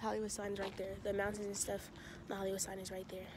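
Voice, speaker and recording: A woman is heard over light background noise in a dry sound with no echo. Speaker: vlogger. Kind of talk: casual vlog chat. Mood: playful, chatty. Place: open country. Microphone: phone near.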